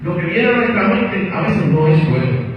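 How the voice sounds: Strong room echo surrounds speech at a moderate pace with big pitch swings. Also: man, high pitch for a man.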